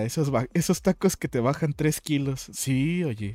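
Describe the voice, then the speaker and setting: A man speaks at a medium pitch. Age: 20s. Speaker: podcast host and streamer. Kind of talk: casual chat. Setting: live stream.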